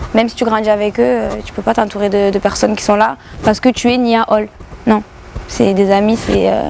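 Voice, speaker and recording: A woman's medium-pitched voice with a southern French accent, ordinary pitch variation, a fairly quick pace and noticeable background noise. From southern France, Béziers. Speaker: rapper and YouTuber. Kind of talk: radio interview. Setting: club venue with radio mic. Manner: many hesitations (euh).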